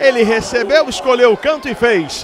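Over crowd noise in the background, a man talks in an animated tone at a fairly slow pace, his pitch extremely high. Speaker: football match commentator. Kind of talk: live football commentary. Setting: stadium commentary with sponsor ad reads. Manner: excitable, animated, shouting goal calls.

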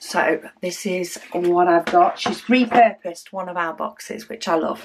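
Noticeable background noise surrounds a woman speaking. She goes at a fairly slow pace with ordinary pitch variation. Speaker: craft video host. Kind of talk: casual vlog chat. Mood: cheerful, relaxed.

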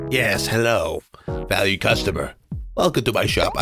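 A raspy put-on character voice from a man at a moderate pace, with faint music in the background. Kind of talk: welcoming.

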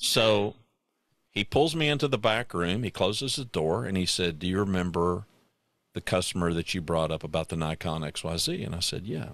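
A man with a very deep, low voice speaks at a moderate pace with lively intonation. The sound is dry with no echo against a quiet background. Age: 60s. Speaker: podcast host. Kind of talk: casual chat. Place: home room. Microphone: studio mic.

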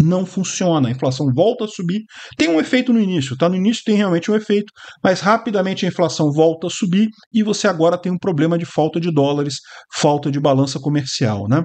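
Against a quiet background, a man talks fairly quickly with lively intonation. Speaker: political commentator. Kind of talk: commentary.

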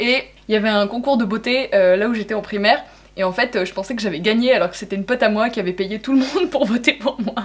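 A woman talks very fast, her pitch rising and falling in a typical way. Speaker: youtuber host. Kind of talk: casual vlog chat, reading extracts aloud. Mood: amused, laughing. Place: home room.

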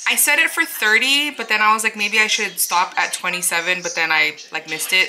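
Over light background noise, a woman speaks at a fairly quick pace. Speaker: home cook vlogger. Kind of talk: casual vlog chat. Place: kitchen. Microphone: camera far.

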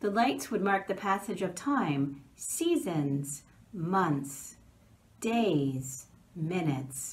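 Very slowly, a woman speaks at a fairly low pitch. Her tone is warm and gentle, and her pitch swings very widely. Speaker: pastor. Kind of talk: children's Bible story narration, gentle storytelling. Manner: warm, gentle, measured; slow, reverent, with pauses between days. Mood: warm, gentle. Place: office. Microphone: phone near.

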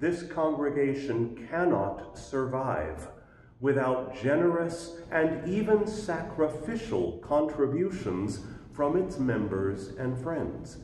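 A man speaks at a very slow pace, with light background noise and audible room echo. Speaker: pastor. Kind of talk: church announcements. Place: church.

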